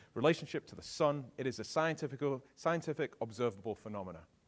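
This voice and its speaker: Speaking very fast with lively intonation, a man with a British accent uses a medium pitch. The recording is very clean and silent in the background, with a dry, close sound and no echo. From England. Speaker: keynote speaker. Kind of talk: keynote talk. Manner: animated.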